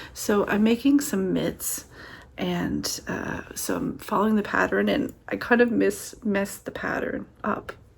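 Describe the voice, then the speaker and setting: The speaker talks at a fairly slow pace. Background noise is noticeable. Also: woman. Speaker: author vlogger. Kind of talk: casual vlog. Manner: soft-spoken.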